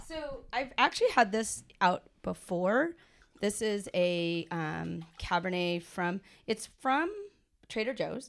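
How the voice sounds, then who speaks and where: A woman speaks loudly and very slowly, her pitch swinging very widely. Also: medium pitch for a woman. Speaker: podcast host, teacher. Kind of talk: casual chat, interview over wine. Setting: recorded in person, studio-like, with drinks. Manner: loud talker.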